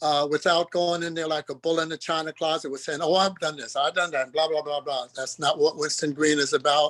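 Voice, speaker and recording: Fairly high male voice, monotone with flat intonation, at a fairly quick pace with hardly any pauses, in a dry, close sound with no echo and a quiet background. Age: 80s+. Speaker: caregiver of spouse with Alzheimer's. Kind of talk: support group sharing. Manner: halting.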